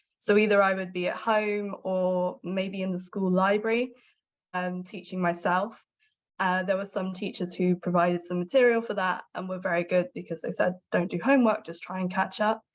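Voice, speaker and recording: A woman in an English accent at a medium pitch, with fairly even intonation and a moderate pace. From southwest England. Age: 20s. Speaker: journalist. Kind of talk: interview testimony.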